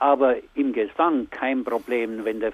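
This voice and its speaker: Speaking at a fairly slow pace with a Bavarian accent, a man keeps a medium pitch and a fairly even intonation. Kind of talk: radio interview. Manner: halting.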